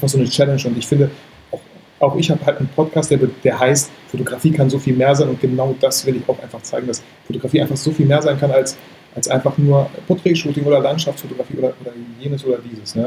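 A man at a very fast pace amid noticeable background noise. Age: 30s. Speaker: photographer and YouTuber. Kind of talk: casual chat. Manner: animated.

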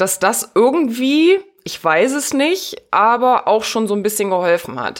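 A woman in an ordinary speaking voice talks at a fairly slow pace with lively intonation, on a very clean recording with a silent background. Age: 30s. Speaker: virtual assistant and podcast producer. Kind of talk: casual interview.

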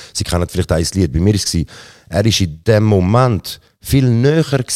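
In a dry, close sound with no echo, a man with a fairly low pitch speaks at a moderate pace with lively intonation, a normal speaking voice. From Switzerland, Zurich. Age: 30s. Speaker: rapper. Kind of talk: interview. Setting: theatre venue.

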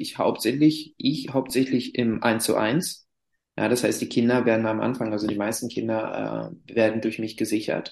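Vocal fry runs through speech at a moderate pace with fairly even intonation. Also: man. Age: 30s. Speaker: climbing therapist and school sports teacher. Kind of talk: interview.

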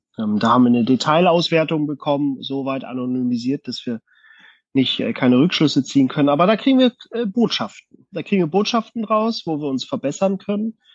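A man with a fairly high voice whose pitch swings very widely. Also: fairly quick pace. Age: 30s. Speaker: company manager. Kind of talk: casual chat. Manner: hesitant, many fillers.

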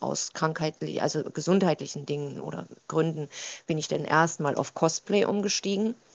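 A woman with a very deep, low pitch keeps a moderate pace, her pitch varying in an ordinary way. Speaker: TikTok creator. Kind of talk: interview. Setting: video call.

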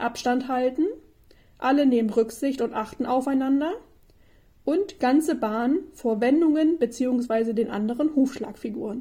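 A woman speaks at a high pitch in a dark, mellow tone. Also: ordinary pitch variation, moderate pace. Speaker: podcast host. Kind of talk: podcast intro and outro.

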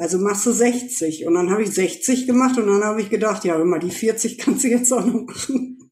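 At a moderate pace, a woman speaks in a plain, everyday voice, fairly high in pitch with ordinary pitch variation. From Germany, Ruhr area (Essen). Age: 40s. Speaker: former homeless person, volunteer. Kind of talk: testimony.

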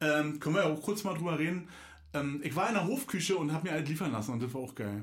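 Talking at a very fast pace with lively intonation, a man with a fairly high voice is heard amid audible room echo and noticeable background noise. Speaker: podcast host. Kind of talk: casual chat. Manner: animated.

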